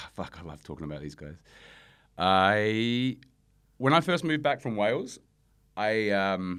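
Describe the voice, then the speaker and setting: With an Australian accent, a man speaks at a fairly low pitch and a fairly slow pace, his pitch swinging very widely and his loudness shifting a lot, with long, frequent pauses on a very clean recording with a silent background. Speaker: rapper and producer. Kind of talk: casual interview.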